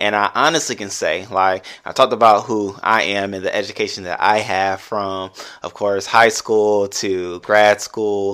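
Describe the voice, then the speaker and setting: A man's fairly low-pitched voice, bright and sharp in tone, with fairly even intonation. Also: moderate pace. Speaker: podcast host. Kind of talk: casual monologue. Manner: conversational.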